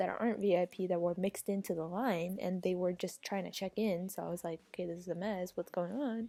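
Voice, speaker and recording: A soft-spoken woman with a dark, mellow tone and ordinary pitch variation. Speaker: vlogger. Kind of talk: casual storytime vlog. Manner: animated.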